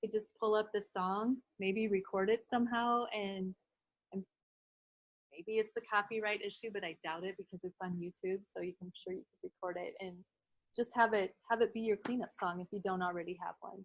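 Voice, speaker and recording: A woman's medium-pitched voice at a moderate pace, with big swings in loudness and a dry, close sound with no echo. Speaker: early childhood behavior trainer. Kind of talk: training workshop lecture. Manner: animated.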